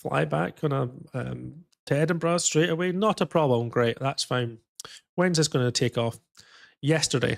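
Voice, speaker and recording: The speaker has a strong Scottish accent and a moderate pace with ordinary pitch variation. The recording is very clean with a silent background, and the sound is dry and close with no echo. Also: man, fairly high pitch for a man. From Scotland. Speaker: flight sim streamer. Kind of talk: casual chat. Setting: live stream. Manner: animated.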